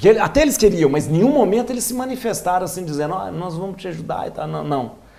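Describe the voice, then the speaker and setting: Very fast speech in a Minas Gerais accent swings very widely in pitch, with audible room echo and noticeable background noise. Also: man, high pitch for a man. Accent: mineiro. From Minas Gerais, Brazil (Lavras). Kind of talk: interview. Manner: halting, with many restarts.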